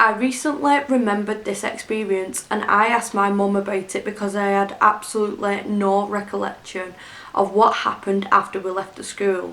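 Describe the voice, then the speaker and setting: In a north-west English accent, a woman with a bright, sharp tone speaks at a moderate pace in a monotone, flat intonation. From Greater Manchester, England. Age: 20s. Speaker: YouTube storyteller. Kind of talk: scary story narration.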